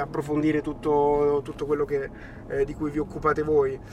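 Fairly high in pitch, a man speaks at a fairly quick pace in a monotone, flat delivery. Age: 30s. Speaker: youtuber and entrepreneur.

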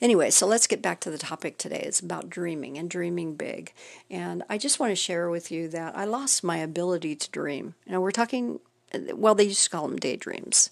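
A woman talks in an unremarkable speaking voice at a fairly low pitch. Her intonation is lively, her pace fairly quick, and the background quiet. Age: 60s. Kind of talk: devotional encouragement talk. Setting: recording at home. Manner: casual, conversational with fillers.

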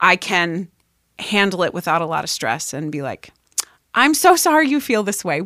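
A woman with a Pennsylvania accent speaks at a moderate pace and medium pitch, her tone bright and sharp. Her pitch swings very widely on a very clean recording with a silent background. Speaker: high school math teacher. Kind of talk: casual chat. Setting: home studio.

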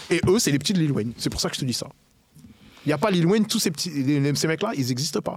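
Noticeable background noise sits behind a man with a fairly high pitch and lively intonation. He talks at a very fast pace but leaves long, frequent pauses. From Paris region then Le Havre, France. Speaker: rapper. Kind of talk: casual chat.

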